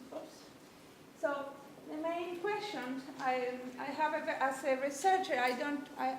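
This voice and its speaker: A high-pitched woman with a Spanish accent, lively intonation and a very slow pace, in audible room echo. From Argentina. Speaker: interaction designer and researcher. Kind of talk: seminar talk. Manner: halting, many fillers and restarts.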